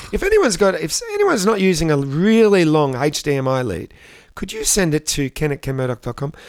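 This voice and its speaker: At a very fast pace, a man with an Australian accent speaks at a fairly high pitch with lively intonation. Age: 60s. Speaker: podcast co-host. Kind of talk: casual comedic chat.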